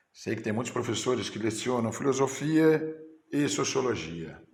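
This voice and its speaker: A man at medium pitch with very wide pitch swings, vocal fry and a fairly slow pace, amid audible room echo. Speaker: teacher. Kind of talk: teacher training lecture. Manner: halting.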